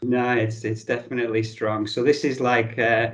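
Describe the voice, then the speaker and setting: A man's medium-pitched voice holds a monotone, flat intonation. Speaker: podcast host. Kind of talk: casual interview chat.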